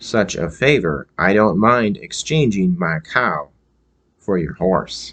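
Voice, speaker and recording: Someone performs a put-on character voice over a quiet background. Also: man, very deep, low pitch for a man, fairly slow pace. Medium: read story.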